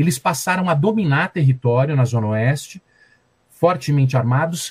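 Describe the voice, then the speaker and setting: Ordinary pitch variation marks this man's speech, delivered at a moderate speed. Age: 50s. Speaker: journalist and violence researcher. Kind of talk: interview.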